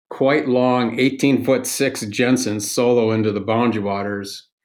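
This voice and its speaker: At a moderate pace, a man in a medium pitch delivers fairly even intonation in an unremarkable speaking voice. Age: 60s. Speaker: outdoor gear maker and paddler. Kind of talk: casual interview chat. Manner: relaxed, casual.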